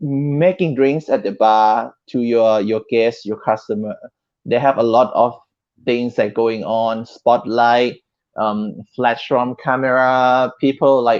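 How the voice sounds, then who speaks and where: A medium-pitched man at a very slow pace with fairly even intonation, quiet background. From Thailand. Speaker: bartender, cocktail competition winner. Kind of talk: interview.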